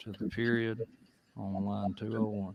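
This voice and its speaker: Against noticeable background noise, a man with an American accent speaks slowly in a fairly low pitch, his intonation monotone and flat. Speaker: state legislator. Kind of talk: committee hearing. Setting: legislative committee room. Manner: formal.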